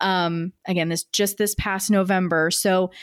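A woman with a plain, everyday voice speaks at a medium pitch and fairly slow pace in a very clean recording with a silent background and a dry, close sound with no echo. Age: 30s. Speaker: podcast host, news producer. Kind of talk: interview.

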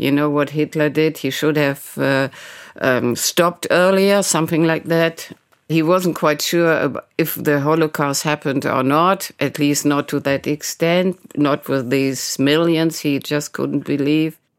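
A woman with a German accent, a very deep, low pitch, very even loudness, fairly even intonation and a fairly slow pace. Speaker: journalist. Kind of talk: interview.

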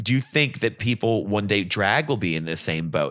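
A man with lively intonation at a fairly quick pace, noticeable background noise behind him. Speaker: drag performer and singer. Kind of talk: casual chat.

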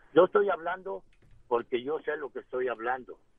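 The speaker is a man with a fairly high pitch. He keeps a moderate pace and ordinary pitch variation. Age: 60s. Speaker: caller, retired carpenter. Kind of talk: radio call-in.

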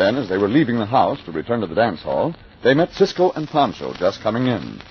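Amid noticeable background noise, a man with a medium pitch speaks fairly quickly in a dramatic tone, his pitch swinging very widely. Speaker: radio drama narrator. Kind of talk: old-time radio drama narration, dramatic scripted storytelling. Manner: formal, dramatic, authoritative.

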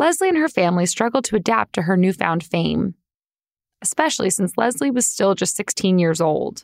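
Her medium-pitched voice swings very widely in pitch, with vocal fry, a moderate pace, and very even loudness. The woman's recording is very clean, dry and close, with no echo and a silent background. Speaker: podcast host. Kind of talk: scripted narration. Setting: studio.

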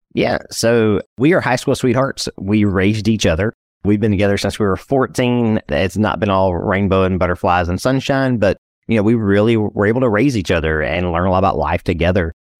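A man with an East Texas accent, fairly low pitch, very even loudness and a fairly quick pace, against a quiet background. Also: ordinary pitch variation, dry, close sound with no echo. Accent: East Texas Southern US. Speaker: financial planner and entrepreneur. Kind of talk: interview. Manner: casual, conversational.

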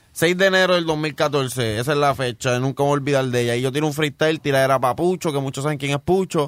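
This man speaks at a very fast pace with hardly any pauses. His pitch is fairly high, with ordinary variation. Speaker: rapper. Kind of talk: casual interview chat. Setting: studio.

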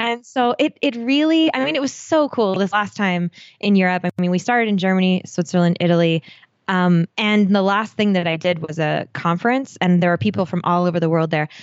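At a fairly quick pace, a woman talks in a medium pitch. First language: non-English native language. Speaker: travel podcaster. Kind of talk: casual interview chat.

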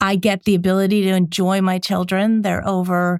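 In an American accent, a woman speaks at a moderate pace and medium pitch on a very clean recording with a silent background and a dry, close sound with no echo. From Connecticut, near New Haven. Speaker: former marketing executive. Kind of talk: interview.

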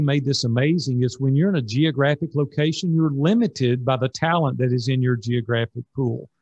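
Someone speaks at a fairly quick pace with a Tennessee accent and a somewhat breathy voice. The sound is dry and close with no echo, over a quiet background. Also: man. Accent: Southern US (Tennessee). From Nashville, Tennessee. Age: 60s. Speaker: business coach. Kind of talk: interview.

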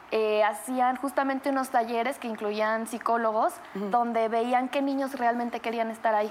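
A woman talks at a high pitch and a moderate pace, with ordinary pitch variation. Noticeable background noise is present. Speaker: actress and singer. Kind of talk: casual chat.

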